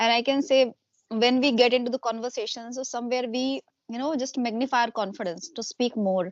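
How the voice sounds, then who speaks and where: A woman with an Indian accent, high in pitch and at a fairly quick pace, in a dry, close sound with no echo and a quiet background. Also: ordinary pitch variation. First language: Hindi. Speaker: homemaker and YouTuber. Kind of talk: casual interview conversation. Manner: hesitant, many fillers.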